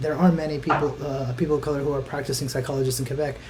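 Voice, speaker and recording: This is a man speaking. He has a Spanish accent, and background noise is noticeable. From US South, South Florida. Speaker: mental health outreach coordinator. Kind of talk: live online panel discussion. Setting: Facebook Live stream. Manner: halting, many repeats.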